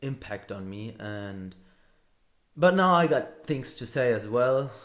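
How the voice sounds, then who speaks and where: Speaking at medium pitch, a man proceeds at a fairly slow pace with ordinary pitch variation. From Hamburg, Germany. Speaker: podcaster. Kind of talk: solo podcast monologue. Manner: halting, many fillers and repeats.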